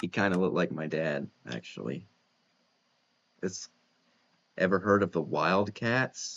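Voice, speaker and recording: Long, frequent pauses break up this man's fairly slow speech, his very deep, low voice carrying vocal fry and lively intonation. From Kentucky (south central). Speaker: gaming streamer. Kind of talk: casual chat. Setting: live stream while gaming.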